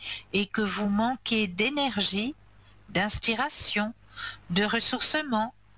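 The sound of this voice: The reading voice sounds unforced. Its pitch shifts in an ordinary manner.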